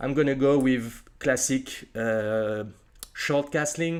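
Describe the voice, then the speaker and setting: At a very slow pace, a man with a non-native accent speaks in a fairly high pitch with ordinary pitch variation. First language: not English. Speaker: chess streamer. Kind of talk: live game commentary. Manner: hesitant, many fillers.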